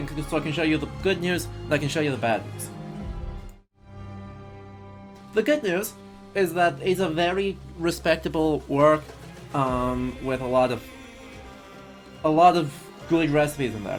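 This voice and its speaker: An American accent with long, frequent pauses, over music in the background. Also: moderate pace. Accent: posh British vowels with American rhythm. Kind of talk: posh English.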